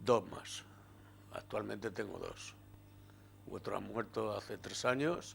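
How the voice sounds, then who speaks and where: A man speaks at a very slow pace, with long, frequent pauses. His loudness swings widely. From Getafe, Madrid, Spain. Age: 60s. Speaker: retired trade unionist and former councillor. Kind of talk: oral history interview.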